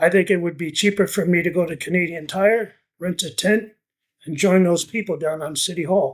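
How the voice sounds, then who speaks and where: A man with a high voice talks at a moderate pace with fairly even intonation on a very clean recording with a silent background. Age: 70s. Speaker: retired tenant. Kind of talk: documentary interview.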